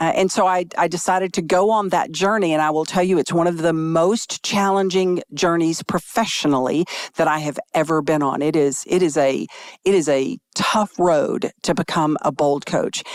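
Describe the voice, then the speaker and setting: An ordinary speaking voice at a moderate pace, with very even loudness. The sound is dry and close, with no echo. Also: woman, fairly low pitch for a woman, ordinary pitch variation. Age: 60s. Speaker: real estate and life coach. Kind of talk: casual chat.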